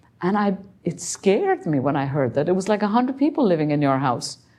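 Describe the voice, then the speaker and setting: Talking at a fairly quick pace, a woman with a dark, mellow tone makes very wide pitch swings. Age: 70s. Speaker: meditation teacher. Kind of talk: talk with Q&A.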